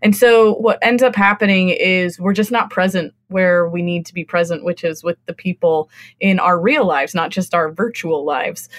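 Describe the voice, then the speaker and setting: With hardly any pauses, a woman talks at a moderate pace in an ordinary speaking voice, medium in pitch with ordinary pitch variation, on a very clean, dry, close recording with no echo and a silent background. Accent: American. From California. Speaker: book marketer. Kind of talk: casual chat.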